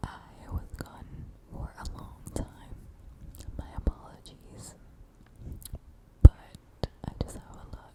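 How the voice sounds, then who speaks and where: Someone whispers very slowly, with long, frequent pauses and noticeable background noise. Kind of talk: ASMR whisper reading and rambling. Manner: whispered.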